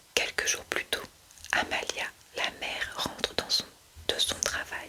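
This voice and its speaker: A woman whispers very slowly against noticeable background noise. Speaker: ASMR creator reading aloud from her own book. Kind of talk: whispered true-crime reading. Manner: whispered, soft, slow.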